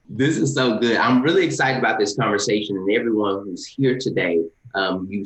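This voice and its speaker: This man speaks with a Southern US accent. His voice sits fairly low, with ordinary pitch variation. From US South (east Texas, Louisiana). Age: 30s. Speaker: lawyer and leadership nonprofit co-founder, webinar panelist. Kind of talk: panel discussion. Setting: video call webinar. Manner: many filler words (um).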